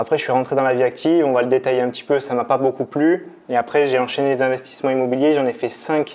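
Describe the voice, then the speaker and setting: A man speaks at a very fast pace in a medium pitch, his intonation monotone and flat. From France, Limousin. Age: 20s. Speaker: real estate investor and trainer. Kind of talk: interview conversation. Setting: at the host's home.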